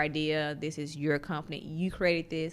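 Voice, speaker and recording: A woman is speaking. She has a Southern US accent. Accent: Southern drawl. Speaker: tech entrepreneur. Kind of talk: interview conversation.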